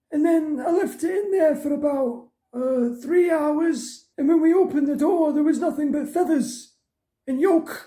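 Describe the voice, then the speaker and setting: A cartoonish character voice pitched high. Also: moderate pace. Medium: puppet show. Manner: hesitant, stammering.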